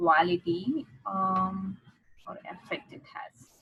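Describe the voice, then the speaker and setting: A woman talks in a non-native accent. Her pitch is medium. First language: not English. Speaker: english exam tutor. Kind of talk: tutorial. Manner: halting.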